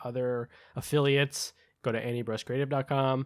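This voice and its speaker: Recorded with a dry, close sound with no echo, a man with an ordinary speaking voice and a medium pitch talks at a moderate pace. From United States. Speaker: podcast co-host. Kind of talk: casual chat. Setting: remote call.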